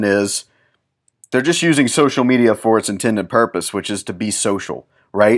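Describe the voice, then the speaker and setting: A man at medium pitch with ordinary pitch variation, on a very clean recording with a silent background. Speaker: podcast host, music business consultant. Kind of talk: solo podcast monologue, business advice. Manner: fast; casual, with fillers and restarts.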